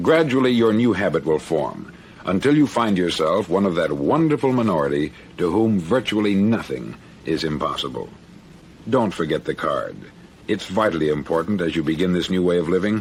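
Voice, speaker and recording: A man with a fairly low pitch makes very wide pitch swings while his loudness stays very even. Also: fairly quick pace. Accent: American. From United States. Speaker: radio broadcaster and motivational speaker. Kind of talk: motivational speech.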